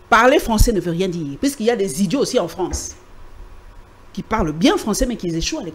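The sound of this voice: With lively intonation and a fairly quick pace, a woman speaks through long, frequent pauses.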